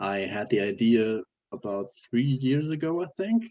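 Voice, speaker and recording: Speaking with a German accent, a man of medium pitch uses lively intonation and has a dark, mellow tone. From Germany. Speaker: software developer. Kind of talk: interview. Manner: halting, many fillers.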